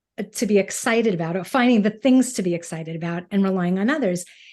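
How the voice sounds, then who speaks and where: Against a quiet background, a woman with a Brooklyn accent talks with lively intonation. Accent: New York (Brooklyn). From US Northeast, Brooklyn. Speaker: podcast co-host. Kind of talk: podcast interview.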